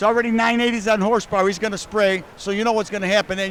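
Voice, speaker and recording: Over noticeable background noise, a man with an American accent speaks very fast in an animated tone, his pitch high with ordinary variation. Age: 60s. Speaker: car show host and car builder. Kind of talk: casual interview. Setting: indoor car show.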